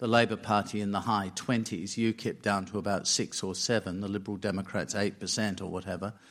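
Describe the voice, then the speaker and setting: A man speaks with an Australian accent at a fairly low pitch and moderate pace, in a monotone, flat intonation with hardly any pauses. The recording is very clean, with a silent background. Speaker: diplomat and former foreign minister. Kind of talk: panel discussion. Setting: stage with live audience.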